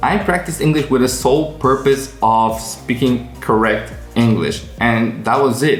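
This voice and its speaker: With an American accent, a man talks at a fairly slow pace with hardly any pauses and very even loudness while music plays in the background. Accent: American-sounding English. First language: non-native English. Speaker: English learning coach. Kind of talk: casual talk to camera.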